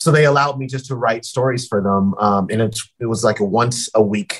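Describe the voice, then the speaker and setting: At a moderate pace, this speaker uses an unremarkable speaking voice in an American accent with ordinary pitch variation. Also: man. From Colorado, Denver. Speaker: sports broadcaster. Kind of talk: casual interview.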